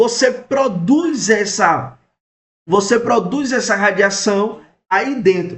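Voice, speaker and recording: There is audible room echo as a man speaks very slowly. His voice is high, with ordinary pitch variation. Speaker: radiology technologist and teacher. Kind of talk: lecture. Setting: live stream.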